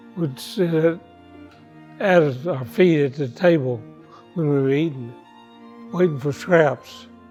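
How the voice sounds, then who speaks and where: A man with a fairly high pitch speaks at a very slow pace while music plays in the background. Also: long, frequent pauses. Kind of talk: interview answer.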